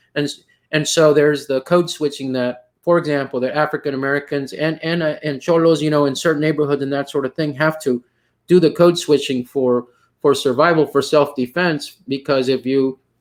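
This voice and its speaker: Speaking fairly quickly with flat, monotone intonation, a man with a Texas Valley accent has a fairly high pitch. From US South, Rio Grande Valley, Texas. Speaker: poetry panel moderator. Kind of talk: panel discussion. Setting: video call. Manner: halting, many fillers.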